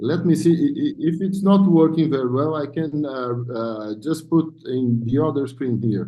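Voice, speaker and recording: Pitched fairly high, a man speaks at a moderate pace with hardly any pauses. His pitch varies in an ordinary way, and room echo is audible. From South America. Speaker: neurosurgeon. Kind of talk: conference presentation. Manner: halting.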